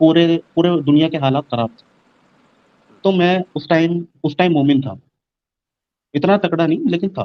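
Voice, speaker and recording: A man with a high pitch and ordinary pitch variation speaks with long, frequent pauses and big swings in loudness. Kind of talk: live stream discussion.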